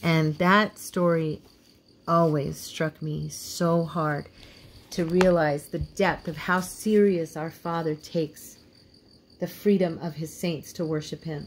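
A woman with an American accent speaks very slowly at a fairly low pitch, her intonation monotone and flat, with light background noise. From Indiana, US Midwest. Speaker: devotional video host. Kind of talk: devotional teaching. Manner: partly read from notes. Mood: warm, earnest, reverent. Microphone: phone near.

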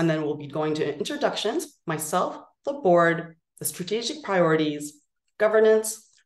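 A woman's fairly low voice at a moderate pace, with audible room echo against a quiet background. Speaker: nonprofit executive director. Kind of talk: virtual meeting presentation. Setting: video call. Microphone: video call.

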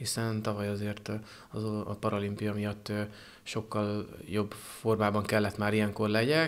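This man talks at a fairly slow pace. His pitch sits fairly low. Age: 30s. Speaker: paratriathlete. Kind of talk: interview. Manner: halting. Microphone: handheld.

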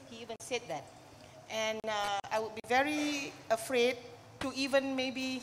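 A woman speaks at a fairly slow pace in a high pitch, with ordinary pitch variation. Light background noise sits behind her. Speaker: speaker. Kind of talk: panel discussion remarks. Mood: earnest, concerned. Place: hall. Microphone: handheld.

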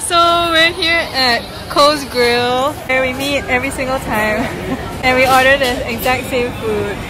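Over crowd noise in the background, a woman speaks in a raised, projected voice. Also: fairly slow pace. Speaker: food vlogger. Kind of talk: casual vlog chat. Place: cafe. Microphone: phone near.

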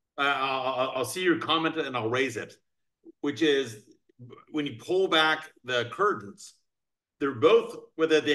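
Over a quiet background, a man with an American accent talks at a fairly high pitch in a bright, sharp tone. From Northern Virginia, US. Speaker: podcast host and crypto attorney. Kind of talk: casual chat. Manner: fast talker. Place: home room. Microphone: video call.

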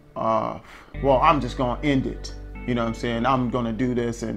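A man talks with ordinary pitch variation. Faint music plays in the background. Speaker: vlogger telling a personal story. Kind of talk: casual vlog chat. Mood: reflective, serious. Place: home room.

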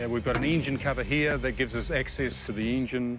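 Over clear music in the background, a man talks at a very fast pace in a dry sound with no echo. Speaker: presenter. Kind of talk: product demonstration. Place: open country.

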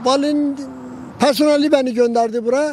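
Over light background noise, a man speaks at a moderate pace in an extremely high pitch with ordinary pitch variation, and the sound is dry with no echo. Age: 70s. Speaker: roadside tea seller. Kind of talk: interview answer. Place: open country. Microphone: handheld.

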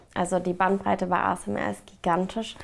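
The speaker is a woman. Her delivery moves at a moderate pace. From Mainz, Germany. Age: 30s. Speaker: ASMR artist. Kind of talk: casual interview answer. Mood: cheerful, relaxed. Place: home room.

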